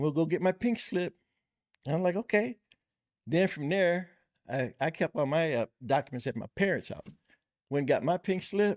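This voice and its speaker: A man speaks at a moderate pace with a high pitch and ordinary pitch variation. The recording is very clean, with a silent background and a dry, close sound with no echo. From Bay Area, California (Richmond). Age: 60s. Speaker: lowrider car builder. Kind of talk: casual interview chat.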